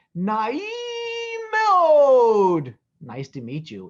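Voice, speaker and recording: Someone uses a put-on character voice with a fairly high pitch. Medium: read story. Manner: soft, warm, mixes Hebrew words with English.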